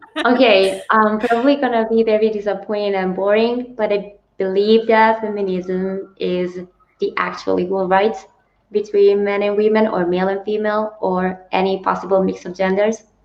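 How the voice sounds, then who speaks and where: Speaking in an Italian accent, a woman with a medium-pitched voice talks at a moderate pace in a monotone, flat intonation. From Italy. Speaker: booktuber. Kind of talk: casual discussion. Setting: livestream.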